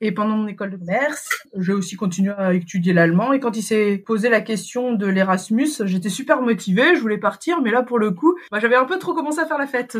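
The intonation is lively. Background noise is noticeable. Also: woman. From Paris region, France. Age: 30s. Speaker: mother living abroad. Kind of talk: interview. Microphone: poor sound quality at times.

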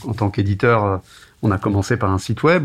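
A man's normal speaking voice, fairly low in pitch, with fairly even intonation and a fairly quick pace. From France, Tours. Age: 40s. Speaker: media entrepreneur. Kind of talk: interview.

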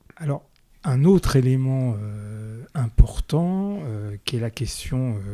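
A man speaks at a very slow pace in a dark, mellow tone. The recording is very clean with a silent background, and the sound is dry and close with no echo. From France, Paris suburbs. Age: 50s. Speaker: podcast host. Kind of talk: interview. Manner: hesitant, repeats words.

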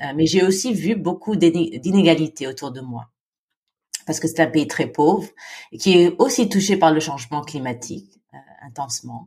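A woman speaks at a moderate pace in a very deep, low voice that is somewhat breathy. Her intonation is lively, and her loudness swings widely. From Philippines. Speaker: women's NGO founder. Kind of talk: interview. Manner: halting, many repetitions.

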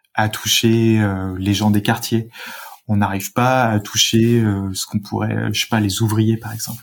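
A man's fairly low, monotone voice with flat intonation, at a fairly slow pace. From France, Rhône-Alpes (Saint-Étienne suburbs). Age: 30s. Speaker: local government climate strategy director. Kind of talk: interview.

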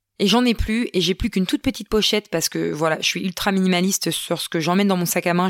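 The recording is very clean and the background silent. In it, a woman speaks very fast. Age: 30s. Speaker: podcaster, entrepreneur and mother. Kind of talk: casual solo podcast monologue. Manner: chatty with laughs and hesitations.

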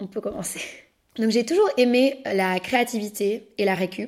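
A woman with a fairly high pitch uses a normal speaking voice. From Belgium, Brussels. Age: 20s. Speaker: podcast host and upcycling entrepreneur. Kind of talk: personal storytelling monologue.

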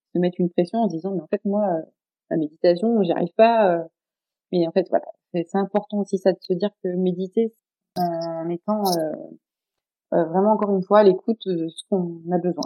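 A woman at medium pitch and moderate pace, fairly even intonation, with long, frequent pauses. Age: 40s. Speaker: social educator and wellness practitioner. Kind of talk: podcast interview. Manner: hesitant, many fillers.

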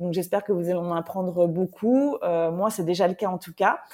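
A woman with a medium pitch and a dark, mellow tone talks at a moderate pace with fairly even intonation, on a very clean recording with a silent background. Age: 40s. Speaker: podcast host, former nurse. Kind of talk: solo podcast monologue. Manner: hesitant, many fillers.

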